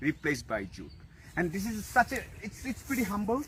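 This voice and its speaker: With a Bengali accent, a man speaks in a bright, sharp tone with lively intonation. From Bangladesh. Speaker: social media influencer. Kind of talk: direct-to-camera video address. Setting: outdoors. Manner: animated.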